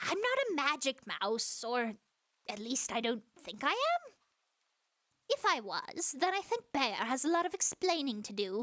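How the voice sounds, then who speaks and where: This is a put-on character voice at a moderate pace. Its pitch swings very widely. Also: woman, high pitch for a woman. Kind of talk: audio roleplay. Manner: silly, comedic.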